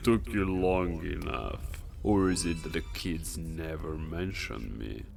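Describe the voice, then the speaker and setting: Someone performs a put-on character voice over clear music in the background. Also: man, very deep, low pitch for a man, fairly slow pace. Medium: machinima. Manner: condescending, amused.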